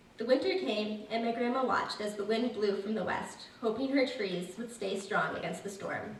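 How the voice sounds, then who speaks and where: Over noticeable background noise, a woman with an American accent speaks at a moderate pace in a fairly high pitch. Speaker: Appalachian amateur writer reading her own story at a women's reading event. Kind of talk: live story reading at a public event.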